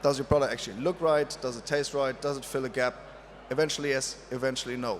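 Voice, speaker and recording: A man speaks with a non-native accent. His pitch sits fairly high for a man. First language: not English. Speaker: drinks industry panelist. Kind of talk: panel talk. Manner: halting, many fillers.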